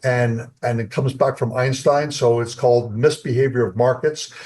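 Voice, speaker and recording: A man speaks in a somewhat breathy voice. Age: 70s. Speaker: company co-founder. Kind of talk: interview. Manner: halting.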